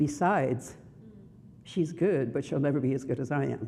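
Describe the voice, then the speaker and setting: With a Brooklyn accent, a woman speaks in a dark, mellow tone, and audible room echo surrounds her. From Brooklyn, New York. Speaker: minister. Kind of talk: sermon.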